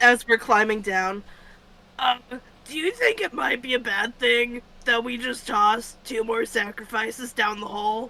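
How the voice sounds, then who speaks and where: The voice is a put-on character voice, raspy and fairly high in pitch. It moves at a moderate pace. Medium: actual play.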